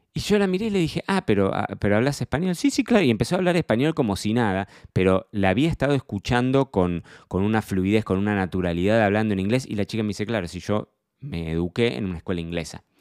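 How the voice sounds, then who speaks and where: In an Argentine accent, a man speaks at a very fast pace with a fairly low pitch and lively intonation, recorded very cleanly over a silent background with a dry, close sound and no echo. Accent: Rioplatense Argentine Spanish. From Argentina, Buenos Aires province. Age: 30s. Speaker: wine sommelier and podcast host. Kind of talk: solo personal diary podcast. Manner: halting, frequent repetitions.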